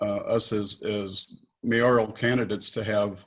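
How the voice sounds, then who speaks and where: A man's fairly low voice in a monotone, flat delivery. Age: 60s. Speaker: mayoral candidate. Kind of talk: moderated Q&A. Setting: video call.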